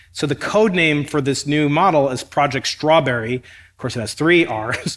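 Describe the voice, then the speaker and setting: With an American accent, a man uses a normal speaking voice at a fairly high pitch, a moderate pace and ordinary pitch variation. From United States. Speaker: cosmologist and physics professor interviewing a guest. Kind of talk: interview on stage. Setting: stage with audience.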